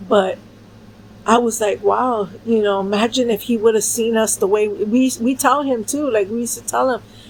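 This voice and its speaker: A fairly high-pitched woman's voice against noticeable background noise. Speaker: vlogger. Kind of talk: personal storytelling. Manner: loud, aggressive way of talking; casual, with cursing and fillers.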